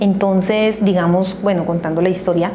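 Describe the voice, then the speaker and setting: Amid noticeable background noise and audible room echo, a woman with a medium-pitched voice talks at a moderate pace with fairly even intonation. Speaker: accounting educator. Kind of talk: tutorial.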